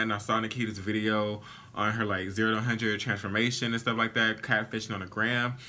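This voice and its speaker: A very fast, animated delivery over noticeable background noise. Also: man. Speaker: beauty vlogger. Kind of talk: makeup tutorial. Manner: casual, animated.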